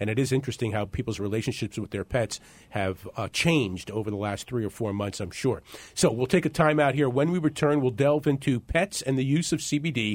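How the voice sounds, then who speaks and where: An ordinary speaking voice from a man at medium pitch, fairly quick and with lively intonation. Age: 50s. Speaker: radio talk show host. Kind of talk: radio talk show.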